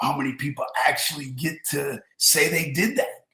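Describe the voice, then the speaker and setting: A man speaks fairly slowly in an unremarkable speaking voice, fairly high-pitched, with ordinary pitch variation. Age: 60s. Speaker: wrestling promoter and business owner. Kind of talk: podcast interview. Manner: frequent 'um' fillers.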